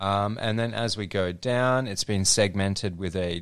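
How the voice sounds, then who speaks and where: A man speaks at a fairly slow pace with a very deep, low pitch and fairly even intonation. The recording is very clean, with a silent background. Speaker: marketing agency co-host. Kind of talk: casual podcast chat.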